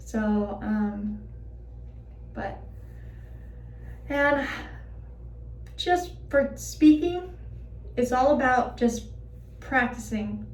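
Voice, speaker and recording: A woman talks at a very slow pace with long, frequent pauses. Audible room echo surrounds her voice. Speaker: vlogger sharing personal experience. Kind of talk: personal vlog. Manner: hesitant with fillers.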